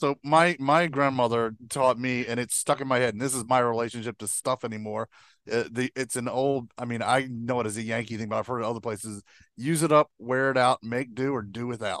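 An unremarkable speaking voice, a man's at medium pitch, moves at a fairly quick pace. The sound is dry and close with no echo over a quiet background. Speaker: producer.

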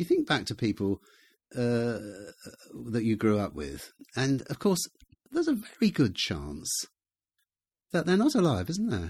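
At a moderate pace, a somewhat breathy speaker with a southern English accent is heard in a very clean recording with a silent background. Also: man. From England, Gloucestershire. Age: 70s. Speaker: author. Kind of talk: casual chat. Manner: halting.

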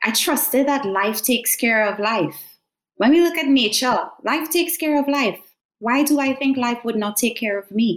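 A woman talks in a high voice with lively intonation. Her pace is moderate. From Trinidad and Tobago. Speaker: education consultant and doctoral researcher. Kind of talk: interview.

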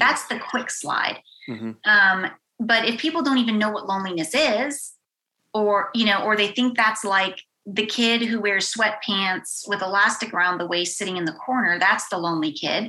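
A woman speaks at a moderate pace with a medium pitch and ordinary pitch variation. She has a plain, everyday voice. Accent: American. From Western Pennsylvania. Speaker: university director of belonging. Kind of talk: casual interview chat.

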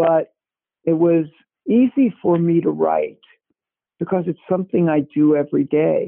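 The speech has ordinary pitch variation, broken up by long, frequent pauses. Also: man, high pitch for a man, fairly slow pace. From Brooklyn, New York. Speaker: talent agent and author. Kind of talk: interview. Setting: remote call. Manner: conversational.

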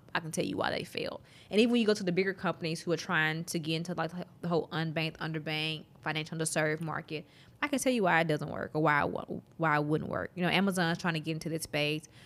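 A woman with a Southern US accent, fairly low in pitch with ordinary pitch variation, on a very clean recording with a silent background. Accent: Southern US drawl. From Mississippi, US South. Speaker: app developer entrepreneur. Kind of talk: casual interview chat.

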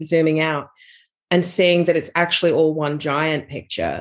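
A woman with an Australian accent, fairly low in pitch, at a moderate pace. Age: 40s. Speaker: author. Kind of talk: interview.

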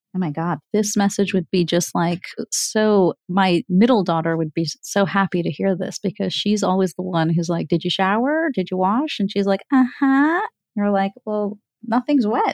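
With an American accent, a woman in an unremarkable speaking voice talks at a moderate pace with lively intonation, in a dry, close sound with no echo. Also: medium pitch for a woman, quiet background. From US. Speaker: physician podcast host. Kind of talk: interview.

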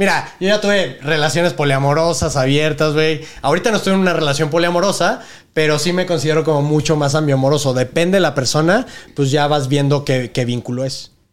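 A man talks at a fairly quick pace in a fairly high pitch, with ordinary pitch variation. He has a normal speaking voice. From northern Mexico (Monterrey). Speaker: adult content creator. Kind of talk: casual interview chat.

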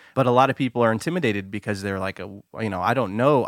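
At a fairly quick pace, a man speaks at medium pitch with ordinary pitch variation, a normal speaking voice. The sound is dry and close, with no echo. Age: 30s. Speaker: podcast host. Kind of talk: casual interview.

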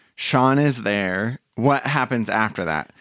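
In a very clean recording with a silent background, a man with an American accent talks using lively intonation. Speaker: podcast co-host. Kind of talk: casual chat. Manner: mumbling.

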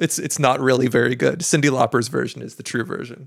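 A man speaks at a very fast pace. His voice carries vocal fry. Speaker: podcast host. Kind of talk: casual chat.

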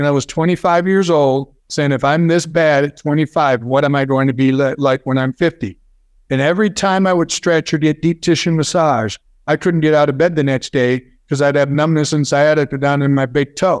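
A man's normal speaking voice, fairly high in pitch, at a fairly quick pace with fairly even intonation and very even loudness, dry and close with no echo, over a quiet background. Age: 50s. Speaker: neuromuscular therapy founder. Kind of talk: interview.

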